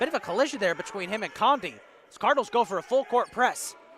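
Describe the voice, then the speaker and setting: Amid noticeable background noise, a man speaks at a very fast pace with an extremely high pitch and ordinary pitch variation. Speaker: basketball play-by-play commentator. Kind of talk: live commentary. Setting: college gym broadcast. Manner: animated.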